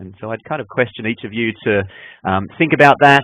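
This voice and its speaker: A man speaks with an Australian accent. His pitch is fairly low and his pace fairly quick. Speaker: enterprise architecture consultant. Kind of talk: webinar presentation. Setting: online webinar. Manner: hesitant, with frequent fillers and repetitions.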